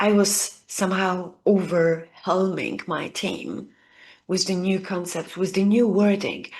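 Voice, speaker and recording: Against a quiet background, a woman with a non-native accent speaks very slowly. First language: not English. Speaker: leadership coach. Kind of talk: video lesson to camera.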